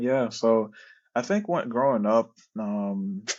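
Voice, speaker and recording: A man with a Haitian accent speaks at a moderate pace with ordinary pitch variation. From Haiti, raised in Florida. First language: Haitian Creole. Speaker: product manager. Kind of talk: interview.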